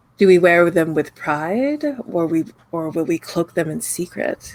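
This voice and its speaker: A raspy, put-on character voice at a middle pitch and a moderate pace. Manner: solemn, questioning.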